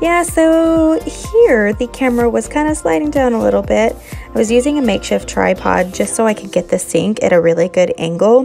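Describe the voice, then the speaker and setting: Fairly quick speech from a woman over background music. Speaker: home cleaning vlogger. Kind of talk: casual vlog voice-over narration.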